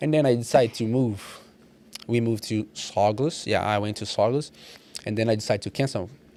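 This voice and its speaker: Talking at a fairly quick pace with a Portuguese accent, a man holds a medium pitch and fairly even intonation amid noticeable background noise. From Brazil. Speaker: personal trainer. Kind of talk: casual podcast interview. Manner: halting, repeating words.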